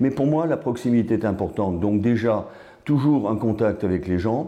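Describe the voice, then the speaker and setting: A man's dark, mellow voice with lively intonation amid audible room echo. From Alsace, France (Strasbourg area). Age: 60s. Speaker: politician. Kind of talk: interview. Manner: hesitant with fillers.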